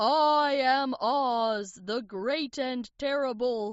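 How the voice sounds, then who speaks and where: In a high put-on character voice, a woman talks at a very slow pace. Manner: fearful, shaky.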